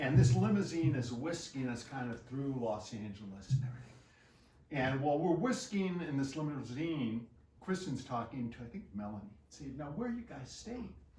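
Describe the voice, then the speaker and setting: A man with a medium pitch and lively intonation talks with big swings in loudness, and audible room echo surrounds him. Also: moderate pace. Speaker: memorial speaker. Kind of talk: eulogy anecdote at a memorial party.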